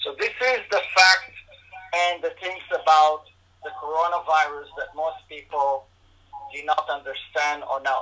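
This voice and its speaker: Against noticeable background noise, a man with a fairly high pitch talks at a fairly slow pace with ordinary pitch variation. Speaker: integrative medicine doctor. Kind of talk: interview answering questions. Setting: video call.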